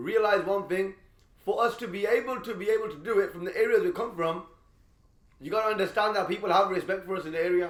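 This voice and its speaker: Very fast, animated speech from a man with a high pitch and ordinary pitch variation. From Birmingham, England. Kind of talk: casual chat.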